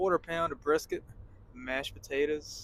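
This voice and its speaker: Putting on a drawling character voice in a Texas accent, a man speaks at a fairly high pitch and a moderate pace. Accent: Texas Southern. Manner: slow drawl.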